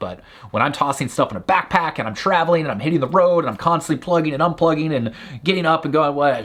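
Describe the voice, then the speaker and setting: A man talks very fast in an animated tone. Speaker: online business founder and YouTuber. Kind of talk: product recommendation video.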